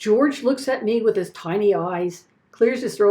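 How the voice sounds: A natural reading voice, nothing more.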